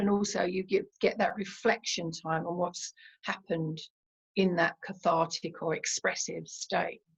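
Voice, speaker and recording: Vocal fry runs through this woman's speech at a fairly slow pace. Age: 70s. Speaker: meditation teacher and therapist. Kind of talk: interview. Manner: hesitant with fillers.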